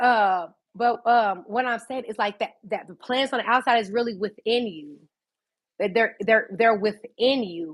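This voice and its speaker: A woman's normal speaking voice, fairly high in pitch, at a fairly slow pace with ordinary pitch variation, on a very clean recording with a silent background. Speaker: livestreamer. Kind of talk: casual livestream monologue. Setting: at home by a fireplace.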